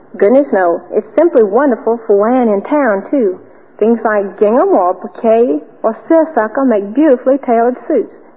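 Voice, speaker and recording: Over noticeable background noise, a woman speaks at a moderate pace with lively intonation and very even loudness. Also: fairly high pitch for a woman. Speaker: cotton industry ambassador, debutante. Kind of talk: old-time radio drama, interview segment. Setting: radio studio. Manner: polite, bright, chatty, formal.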